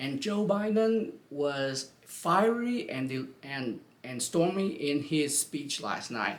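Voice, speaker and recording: With a non-native accent, a man speaks at a very slow pace and hardly any pauses. His fairly high voice moves through very wide pitch swings. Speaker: YouTube commentator. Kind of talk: casual political commentary vlog. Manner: halting, many fillers and restarts.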